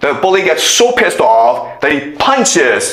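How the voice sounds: Heard here is a natural reading voice. It carries through the whole clip.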